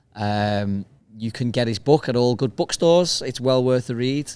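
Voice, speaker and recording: A man with a Liverpool accent at a moderate pace. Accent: Liverpool (Scouse). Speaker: podcast host. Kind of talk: casual outro to camera.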